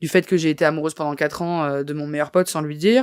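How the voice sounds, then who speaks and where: A woman is speaking. The recording is very clean and dry, close with no echo, over a silent background. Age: 20s. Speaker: comedian and journalist. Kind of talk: podcast interview. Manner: halting.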